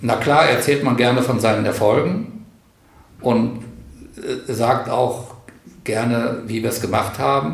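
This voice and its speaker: Amid audible room echo, a man at medium pitch talks at a very slow pace with ordinary pitch variation and long, frequent pauses. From northern Hesse, Germany (Karlshafen on the Weser). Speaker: retired teacher and community organizer. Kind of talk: interview.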